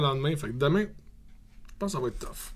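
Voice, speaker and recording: With a Quebec accent, a man speaks with ordinary pitch variation. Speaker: brewery co-owner and metal musician. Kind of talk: casual chat.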